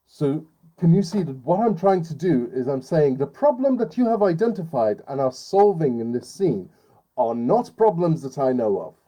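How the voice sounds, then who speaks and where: His pitch fairly high, the man talks with very wide pitch swings. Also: moderate pace. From Iran. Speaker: writing teacher. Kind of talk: lecture. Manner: halting with fillers.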